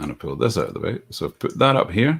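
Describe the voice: A man talks fast with a fairly low pitch and a fairly bright tone. There is a slightly husky edge and some vocal fry.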